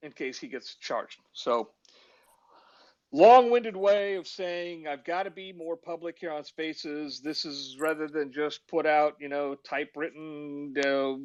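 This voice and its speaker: A man has an ordinary speaking voice with a fairly high pitch and ordinary pitch variation. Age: 60s. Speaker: criminal defense lawyer. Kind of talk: casual chat. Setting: online audio room.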